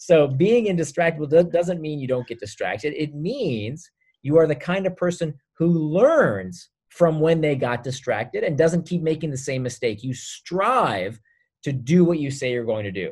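A man speaks in an ordinary speaking voice at a moderate pace, his fairly high pitch carried by lively intonation. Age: 40s. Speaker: author. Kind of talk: interview.

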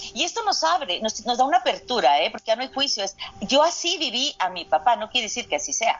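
Against noticeable background noise, a high-pitched woman talks very fast, her pitch swinging very widely. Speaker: astrogenealogy specialist and physician. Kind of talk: interview conversation. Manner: halting, repeats words.

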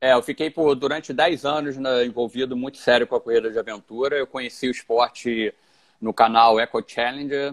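A man with an unremarkable speaking voice, a moderate pace and ordinary pitch variation. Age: 40s. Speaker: ultramarathon runner. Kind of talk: interview.

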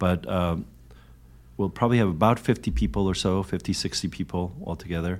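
In an American accent, a man with a very deep, low pitch and vocal fry talks at a fairly quick pace with lively intonation. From Korea, raised in the US from age two. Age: 50s. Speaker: pastor. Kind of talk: casual interview conversation. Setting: video-recorded podcast conversation.

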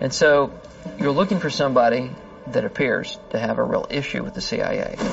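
A man keeps a moderate pace while noticeable background noise sounds behind him. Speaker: FBI agent. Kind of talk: interview recounting.

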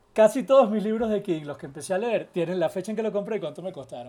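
Lively intonation colors the speech of a man with a Venezuelan accent. His tone is dark and mellow. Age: 40s. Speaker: journalist and producer. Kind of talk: casual chat.

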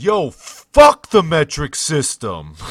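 A man puts on a character voice with a strong Brooklyn accent as part of the act. His pitch sits fairly high. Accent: thick Brooklyn. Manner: loud shout, dismissive.

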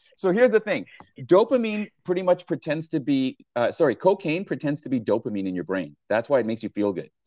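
Recorded with a dry, close sound and no echo, a man with a fairly high pitch and an animated tone speaks at a fairly quick pace through very wide pitch swings. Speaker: public speaking coach. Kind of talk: casual interview chat. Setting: video call. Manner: animated, humorous.

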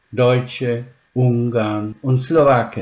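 A man is speaking. His voice is somewhat breathy. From Slovakia (Spiš German community), raised from 1946 in Upper Franconia. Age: 80s+. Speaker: retired professor of special education. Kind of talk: interview answers, read-out prepared text. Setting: online interview. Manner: formal.

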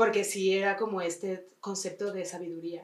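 In a room with audible echo, a woman with a Mexican accent talks at a fairly slow pace. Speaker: psychoanalyst, podcast co-host. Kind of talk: casual chat.

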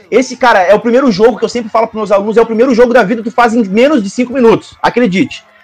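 An extremely high-pitched man's voice at a very fast pace, with fairly even intonation and hardly any pauses. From Porto Alegre, southern Brazil. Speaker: teacher. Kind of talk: casual chat.

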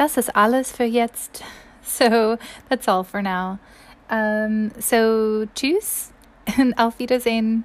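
At a very slow pace with long, frequent pauses, a woman speaks in a fairly high pitch with fairly even intonation. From US South, Mississippi. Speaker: German language teacher. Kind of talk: language tutorial. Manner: halting, with frequent fillers.

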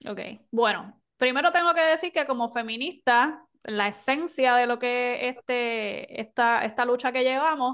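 A woman speaks in a high voice with ordinary pitch variation. The background is quiet. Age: young. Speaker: podcast co-host. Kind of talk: casual discussion.

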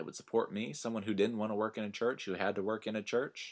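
In a Texan accent, a man speaks at a fairly low pitch in a monotone, flat delivery, recorded very cleanly with a silent background. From Texas Panhandle. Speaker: minister and podcast host. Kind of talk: personal storytelling monologue.

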